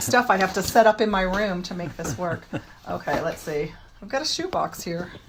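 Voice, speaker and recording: This woman's medium-pitched voice has lively intonation at a moderate speed, set against noticeable background noise. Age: 50s. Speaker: parkour practitioner and children's book author. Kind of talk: interview answer. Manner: casual, chatty.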